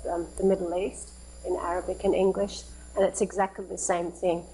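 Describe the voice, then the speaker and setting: A woman at a moderate pace with an Australian accent. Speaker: charity founder and president. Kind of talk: lecture. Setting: live-streamed academic meeting. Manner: conversational with fillers.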